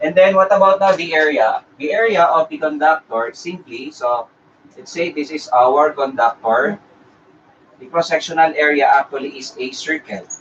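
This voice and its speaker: A man with a Filipino accent speaks with big swings in loudness over noticeable background noise. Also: fairly high pitch for a man, ordinary pitch variation, moderate pace. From Philippines. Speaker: engineering review lecturer. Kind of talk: live-streamed lecture. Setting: live stream. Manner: halting, many fillers.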